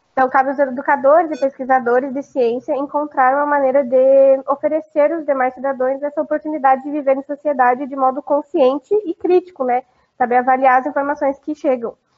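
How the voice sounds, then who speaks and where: Her high-pitched voice moves at a fairly quick pace with hardly any pauses, the woman's intonation monotone and flat. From Foz do Iguaçu area, Paraná, Brazil. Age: 20s. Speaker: student podcaster. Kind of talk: reading a prepared script.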